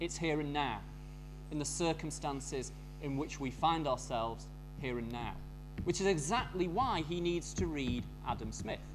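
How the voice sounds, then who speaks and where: A strong northern English accent at a moderate pace, broken by long, frequent pauses. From northern England. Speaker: academic conference speaker. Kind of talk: academic lecture. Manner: hesitant, with fillers and repetitions.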